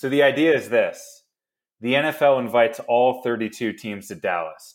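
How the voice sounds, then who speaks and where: Someone with a plain, everyday voice and an American accent talks at a moderate pace, with big swings in loudness. The recording is very clean, with a silent background. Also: man. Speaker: podcast host. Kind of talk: casual comedic sports banter. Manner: joking, sarcastic.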